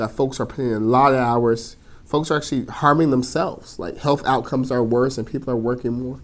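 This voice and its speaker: Fairly quick in pace, a man speaks with an American accent and an ordinary speaking voice. His pitch is medium and his intonation fairly even. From California, Stockton. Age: 20s. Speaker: mayor. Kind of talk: interview.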